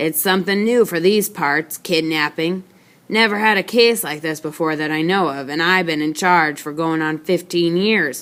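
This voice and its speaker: Putting on a character voice, a woman speaks raspily at a moderate pace, her pitch fairly low with ordinary variation. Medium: read story. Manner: folksy drawl, rambling.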